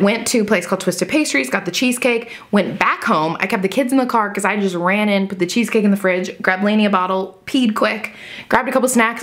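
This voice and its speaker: Over noticeable background noise, a woman talks fairly quickly in an animated tone, her pitch fairly high with ordinary variation. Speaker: lifestyle vlogger. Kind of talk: casual vlog chat. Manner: fast.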